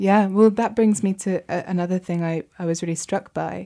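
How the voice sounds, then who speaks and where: A woman speaks with a British accent in a dark, mellow tone. Her intonation stays fairly even. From Britain. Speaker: podcast host. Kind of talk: interview; scripted introduction. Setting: studio.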